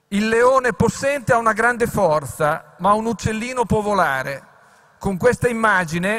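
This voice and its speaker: With music playing behind him, a man speaks at a moderate tempo, his pitch varying in an ordinary way. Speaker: foreign minister. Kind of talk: formal welcome speech. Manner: formal.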